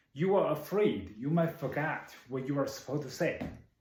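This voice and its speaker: A man with a non-native accent speaks at a moderate pace, somewhat breathy. Audible room echo surrounds his voice. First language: not English. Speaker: public speaking club member. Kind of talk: prepared speech.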